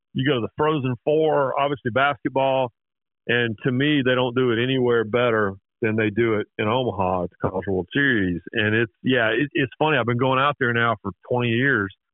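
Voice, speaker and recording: A plain, everyday voice from a man at medium pitch, with ordinary pitch variation and very even loudness. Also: moderate pace. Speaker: sports journalist. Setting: phone call.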